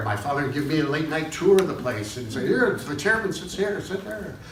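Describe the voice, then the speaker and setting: This man's voice sits fairly high and swings very widely in pitch. Noticeable background noise runs behind him. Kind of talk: live storytelling performance. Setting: live audience. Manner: casual, conversational.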